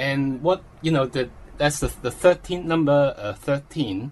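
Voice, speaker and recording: A man speaks at a very slow pace with a fairly high pitch. His voice is somewhat breathy, with ordinary pitch variation. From Hong Kong. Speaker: exam candidate. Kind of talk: interview. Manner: halting.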